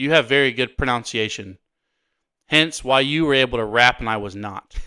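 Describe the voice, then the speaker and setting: On a very clean recording with a silent background, a man mumbles at a moderate pace in a bright, sharp tone with ordinary pitch variation. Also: dry, close sound with no echo. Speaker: podcast co-host. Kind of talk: casual chat. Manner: mumbling.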